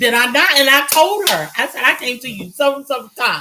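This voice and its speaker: Very fast and animated, a woman speaks in a raised, projected voice at a high pitch with lively intonation. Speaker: podcast co-host. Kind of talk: casual chat. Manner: loud.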